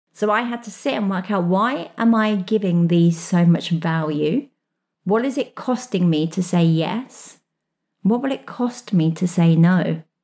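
Lively intonation runs through the speech. The tone is dark and mellow, with some breathiness. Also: woman, medium pitch for a woman, fairly slow pace, very clean recording, silent background. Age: 40s. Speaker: life coach. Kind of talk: solo podcast monologue. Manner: animated.

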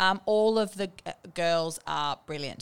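In a very clean recording with a silent background, a woman with an Australian accent speaks at a fairly low pitch. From Australia, Bendigo, Victoria. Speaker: interior designer. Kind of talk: interview. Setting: studio. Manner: hesitant, many ums.

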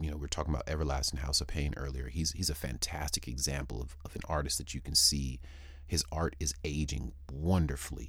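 Man with an American accent, a very deep, low pitch, vocal fry, monotone, flat intonation and a fairly quick pace. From San Diego, California. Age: 40s. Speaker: rapper and podcast host. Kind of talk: interview. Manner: halting, frequent repetitions.

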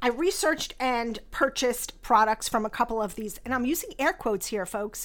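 A normal speaking voice with lively intonation at a moderate pace. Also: woman, very clean recording, silent background. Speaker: skincare company founder and podcast host. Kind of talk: scripted-style podcast monologue, intro episode. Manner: warm, candid, self-deprecating, chuckles.

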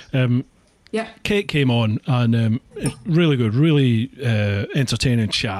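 With a Scottish accent, a man speaks at a fairly slow pace and medium pitch with ordinary pitch variation, in a dry, close sound with no echo. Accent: Scottish, rolled R's. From northeast Scotland. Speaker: podcast host. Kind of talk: casual interview chat. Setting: home office studio.

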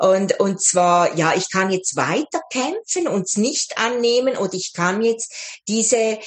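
Her intonation is lively as the woman speaks at a very slow pace. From Switzerland. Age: 60s. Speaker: life coach. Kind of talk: interview.

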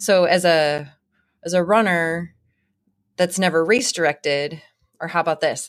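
With an animated tone and a fairly low pitch, a woman speaks at a moderate pace on a very clean recording with a silent background. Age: 40s. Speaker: professional ultra runner and author. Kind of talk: casual interview chat. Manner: animated, laughs often.

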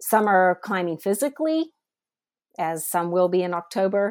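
A woman with an unremarkable speaking voice talks at a moderate pace and lively intonation. The recording is very clean, with a silent background. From US Midwest, Northeast Ohio. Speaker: missionary. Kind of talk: interview testimony.

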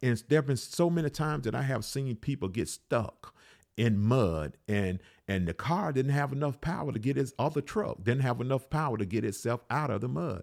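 A man with an Alabama accent speaks at a moderate pace, his medium pitch carrying lively intonation. The recording is very clean, with a silent background. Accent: Southern US (Alabama). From US South, Alabama. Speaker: pastor. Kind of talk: podcast sermon. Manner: repetitive, halting with fillers.

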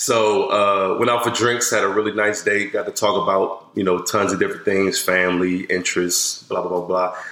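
A man speaks at a moderate pace in a flat monotone, with noticeable background noise and audible room echo. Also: fairly low pitch for a man, hardly any pauses, very even loudness. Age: 30s. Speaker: UX/UI designer. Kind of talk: casual chat. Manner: halting, many fillers.

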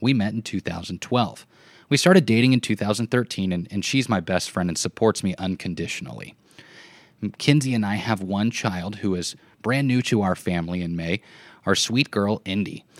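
The sound is dry and close with no echo, a Midwestern American accent coming through on a very clean recording with a silent background. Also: man, fairly low pitch for a man, ordinary pitch variation, moderate pace. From US Midwest, southwest Nebraska. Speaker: podcast host, former sports broadcaster. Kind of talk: personal narrative monologue.

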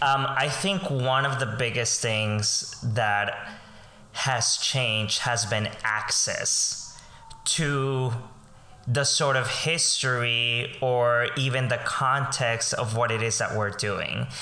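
A man at a very slow pace, medium pitch, ordinary pitch variation and very even loudness, with audible room echo and noticeable background noise. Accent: Spanish. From Colombia. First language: Spanish. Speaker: voice teacher and performing arts educator. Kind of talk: interview.

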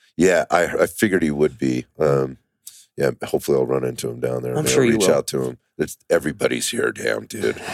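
A man's put-on character voice, raspy and hoarse, very deep and low in pitch, at a moderate pace, with a dry, close sound and no echo.

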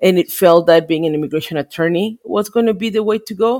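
In a Spanish accent, a woman talks at a fairly quick pace with ordinary pitch variation and a dark, mellow tone, on a very clean, dry, close recording with a silent background and no echo. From Mexico. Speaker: immigration lawyer and congressional district director. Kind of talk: interview.

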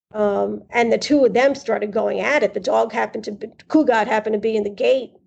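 A woman with a New York accent talks at a fairly quick pace. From East Harlem, New York City. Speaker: host's sister. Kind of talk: casual interview, childhood memories. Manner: halting, repeats words.

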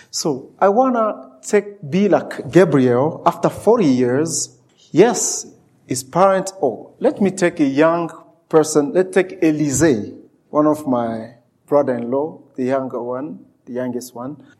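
This man speaks with a Central African French accent, his pitch fairly high. His intonation is lively while his pace stays very slow. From DR Congo. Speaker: preacher. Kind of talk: sermon. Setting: church. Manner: animated.

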